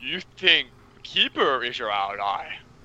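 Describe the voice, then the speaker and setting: Speaking at a fairly slow pace, a man uses a put-on character voice at medium pitch. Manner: menacing.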